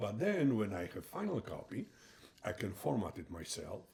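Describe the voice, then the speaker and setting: A man with a Polish accent talks at a moderate pace in a somewhat breathy voice. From Poland. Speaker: retired heart surgeon and author. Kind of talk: interview. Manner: halting.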